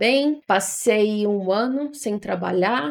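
With very wide swings in pitch, a woman speaks on a very clean recording over a silent background. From Ceará, Brazil (Fortaleza). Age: 20s. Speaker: podcaster. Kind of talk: casual monologue.

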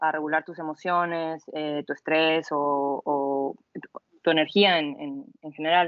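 Speaking very slowly with hardly any pauses, a woman with a very deep, low pitch keeps a monotone, flat intonation while her loudness swings widely. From northwest Mexico (Sonora). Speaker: athlete and yoga instructor. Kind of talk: casual interview.

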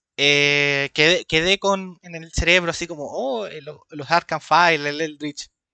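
A man's fairly high, bright and sharp voice at a fairly slow pace, fairly even in intonation, with a dry, close sound and no echo. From Chile. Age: 20s. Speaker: podcast co-host. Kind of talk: casual chat.

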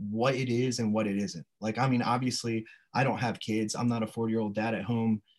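Talking at a fairly quick pace, a man with an American accent has an unremarkable speaking voice at a medium pitch. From Delaware, Sussex County (rural US East Coast). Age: 30s. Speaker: powerlifter and English teacher. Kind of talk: casual chat.

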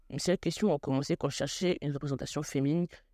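Talking very fast with ordinary pitch variation, a woman has a very deep, low pitch and a dark, mellow tone, recorded very cleanly with a silent background and a dry, close sound with no echo. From Senegalese and Guadeloupean family. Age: 20s. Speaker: podcast host, health student. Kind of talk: solo podcast monologue.

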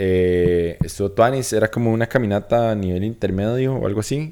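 In a Costa Rican accent, a man talks at a moderate pace with a fairly low pitch and ordinary pitch variation. His tone is dark and mellow, and the recording is very clean with a silent background. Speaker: podcast co-host. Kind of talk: casual chat.

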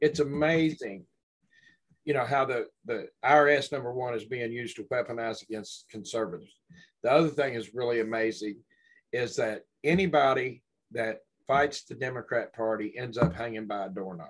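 A man with a Southern US accent talks at a moderate pace and a medium pitch with ordinary variation. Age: 60s. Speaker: podcast host. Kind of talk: casual chat.

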